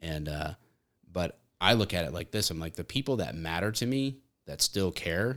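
A man with an American accent and a very deep, low pitch talks at a moderate pace in a very clean recording with a silent background. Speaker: police officer and content creator. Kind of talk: casual chat.

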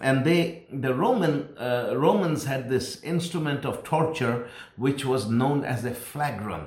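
A man with a fairly high pitch, fairly slow pace and ordinary pitch variation, against noticeable background noise. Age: 60s. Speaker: pastor. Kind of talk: sermon. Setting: recorded at home.

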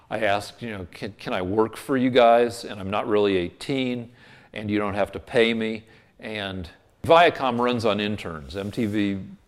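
A man with an American accent has an unremarkable speaking voice, fairly low in pitch with ordinary pitch variation. He speaks at a fairly slow pace in a very clean recording with a silent background. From US West (Boulder, Colorado). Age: 60s. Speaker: TV comedy writer. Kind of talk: casual interview.

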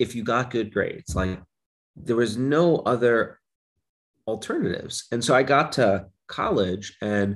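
The speaker has a normal speaking voice and an American accent, with ordinary pitch variation. The pace is fairly slow, over a quiet background. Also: man. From Brooklyn, New York. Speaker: psychology professor. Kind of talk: interview.

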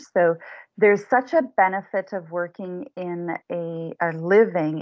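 A woman with a Canadian accent, medium in pitch, with ordinary pitch variation and an ordinary speaking voice. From southern Ontario, Canada. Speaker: change management consultant. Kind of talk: interview.

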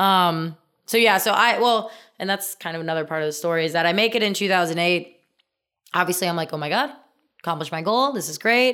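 A woman with an American accent, medium pitch, bright and sharp in tone, with ordinary pitch variation and a very fast pace, on a very clean recording with a silent background. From US Midwest, small-town Indiana. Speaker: former Olympic gymnast. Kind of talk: casual interview. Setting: in-person recording.

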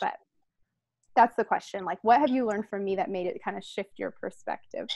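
A woman speaks at a moderate pace and medium pitch, with ordinary pitch variation, a slightly mellow tone and vocal fry.

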